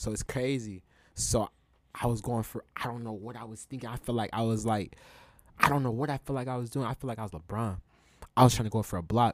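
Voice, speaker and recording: A man with an American accent talks at a very fast pace and medium pitch. His intonation is fairly even, and the recording is very clean with a silent background. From Utah, Salt Lake City area (West Valley City). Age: 20s. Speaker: clothing brand owner. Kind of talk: casual chat.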